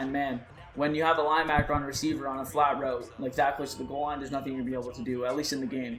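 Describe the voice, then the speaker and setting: Over noticeable background noise and audible room echo, a man talks at a very fast pace with a fairly high pitch and fairly even intonation. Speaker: gaming youtuber. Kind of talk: gameplay commentary. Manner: louder than usual.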